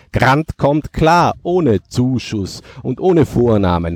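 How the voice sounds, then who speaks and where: A man speaks with an animated, playful tone. His pitch swings very widely. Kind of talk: poetry slam performance. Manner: animated, rhythmic, playful wordplay.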